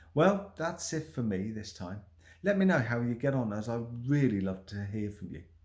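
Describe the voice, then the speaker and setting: With very wide pitch swings, a somewhat breathy man speaks at a fairly slow pace. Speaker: stuttering self-help vlogger. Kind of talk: motivational talk to camera.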